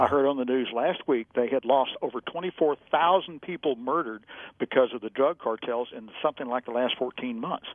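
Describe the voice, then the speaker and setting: A man with an American accent uses an ordinary speaking voice at a medium pitch and fairly quick pace, with ordinary pitch variation. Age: 60s. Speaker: gun rights advocate and attorney. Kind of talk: interview.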